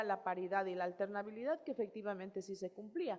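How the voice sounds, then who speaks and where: Ordinary in pitch variation, a woman talks at a fairly quick pace. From Ecuadorian Amazon, Morona Santiago (Shuar nationality). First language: Shuar (speaking Spanish). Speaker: electoral authority head. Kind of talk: panel presentation. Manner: hesitant, many fillers.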